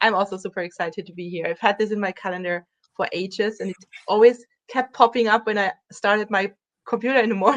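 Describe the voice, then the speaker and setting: A woman with a German accent talks very fast at a medium pitch with fairly even intonation. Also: dry, close sound with no echo. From Germany. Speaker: dog trainer. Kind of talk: interview.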